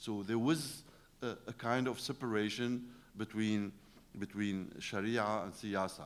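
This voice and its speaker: Speaking with an Arabic accent, a man uses a medium-pitched voice. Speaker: professor. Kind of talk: lecture. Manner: halting, many fillers.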